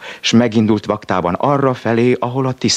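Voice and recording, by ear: The intonation is fairly even. The passage is read aloud in a natural voice.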